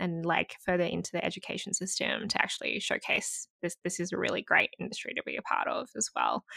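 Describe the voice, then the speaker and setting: A woman with an Australian accent talks at a fairly quick pace, her voice sounding dry and close with no echo. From Australia (Sydney, Gold Coast). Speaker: nonprofit founder, advertising account director. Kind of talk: interview conversation. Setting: remote call.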